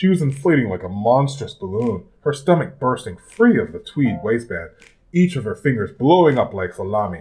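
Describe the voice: This is a plain reading aloud.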